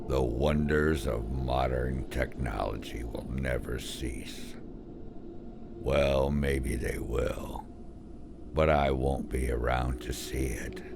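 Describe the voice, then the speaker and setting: A put-on character voice moves at a very slow pace over loud background noise. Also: man. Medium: read story. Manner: gentle, melancholy, cryptic.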